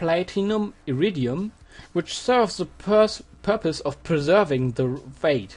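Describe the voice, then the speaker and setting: Someone speaks with a German accent against a quiet background. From Germany. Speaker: physics tutor. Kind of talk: tutorial. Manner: hesitant with fillers.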